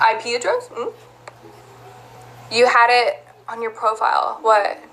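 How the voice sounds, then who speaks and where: A woman talks at a fairly slow pace with an American accent. Background noise is noticeable. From US South (Georgia), Texas-influenced. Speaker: live streamer. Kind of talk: casual live stream chat.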